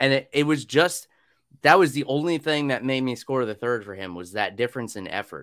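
With an ordinary speaking voice, a man talks at a fairly quick pace in a medium pitch, with lively intonation and big swings in loudness. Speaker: podcast host. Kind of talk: casual chat. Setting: video call.

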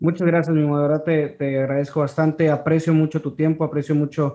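Over a quiet background, a man speaks at a fairly quick pace in a dark, mellow tone with monotone, flat intonation. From Ciudad Victoria, Mexico. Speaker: podcast host. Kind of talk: casual interview.

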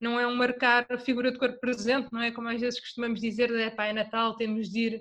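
This woman speaks at a fairly quick pace with a high pitch. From Portugal, Torres Vedras. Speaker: travel podcaster. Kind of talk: casual chat.

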